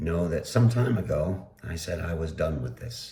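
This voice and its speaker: A man with a very deep, low pitch speaks in a dark, mellow tone with vocal fry. His intonation is lively, and audible room echo is present. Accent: American. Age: 60s. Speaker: political podcaster. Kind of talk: solo podcast commentary. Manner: halting, many fillers.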